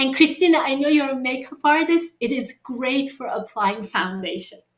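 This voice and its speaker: Somewhat breathy, a woman's voice proceeds at a moderate pace. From Persian background. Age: 60s. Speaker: inventor and founder. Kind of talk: interview. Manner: animated.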